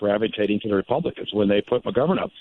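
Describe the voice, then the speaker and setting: This man has an unremarkable speaking voice. His pitch is fairly low and his intonation fairly even. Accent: American. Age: 60s. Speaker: presidential candidate. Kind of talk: radio interview. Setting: phone call.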